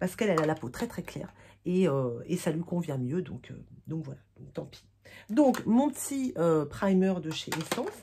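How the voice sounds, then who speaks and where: Noticeable background noise sits under a woman's fairly low-pitched voice, which moves in very wide pitch swings. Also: moderate pace, big swings in loudness. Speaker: beauty vlogger. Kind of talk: casual chat. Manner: halting, many fillers.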